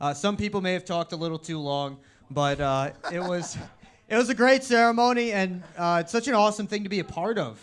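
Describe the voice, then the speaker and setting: A loud man at a fairly quick pace, with ordinary pitch variation. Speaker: coach's show host and event emcee. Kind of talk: casual chat. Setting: live show at a restaurant. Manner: animated.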